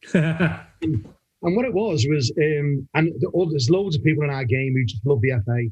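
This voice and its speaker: The man's voice sits fairly high and has a somewhat breathy quality. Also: lively intonation, moderate pace. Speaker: football referee. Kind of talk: casual podcast chat.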